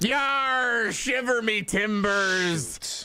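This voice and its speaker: The speaker uses a put-on character voice. Its pitch runs fairly high. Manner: playful, joking.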